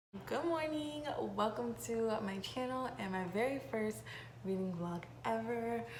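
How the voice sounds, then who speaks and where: In a room with audible echo, a woman speaks at a moderate pace with a fairly high pitch. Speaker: book vlogger. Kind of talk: vlog book chat. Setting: at work. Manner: animated.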